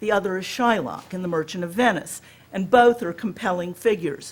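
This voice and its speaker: The speaker talks in an American accent with ordinary pitch variation. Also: woman. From US South, Alabama. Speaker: professor. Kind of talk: lecture.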